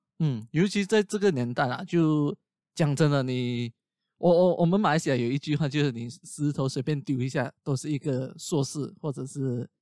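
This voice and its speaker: A fairly high-pitched man with a dark, mellow tone, ordinary pitch variation and a moderate pace, in a dry, close sound with no echo. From Malaysia. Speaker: podcast host. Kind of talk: casual chat. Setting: video call.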